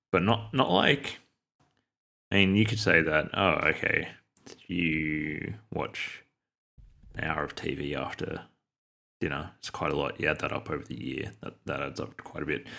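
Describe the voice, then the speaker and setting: With a very deep, low pitch, a man speaks at a moderate pace in a bright, sharp tone, using lively intonation, vocal fry and long, frequent pauses. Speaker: podcast co-host. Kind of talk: casual book discussion. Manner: halting, many fillers.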